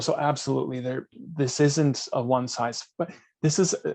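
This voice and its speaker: With a plain, everyday voice, a man talks at a moderate pace in a fairly high pitch with ordinary pitch variation. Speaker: data management consultant. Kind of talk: webinar presentation with Q&A. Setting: online webinar.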